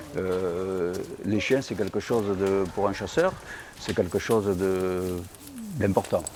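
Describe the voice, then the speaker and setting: Very slowly, a man with a fairly low pitch speaks with ordinary pitch variation. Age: 70s. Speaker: boar hunter. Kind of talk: documentary interview. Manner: hesitant, many fillers.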